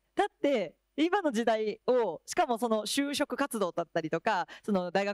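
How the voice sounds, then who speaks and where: Speaking in a fairly high pitch is a woman. The sound is dry with no echo, and the background is quiet. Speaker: school staff member; panelist. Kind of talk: panel discussion. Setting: stage with audience. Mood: friendly, animated. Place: hall. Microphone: handheld.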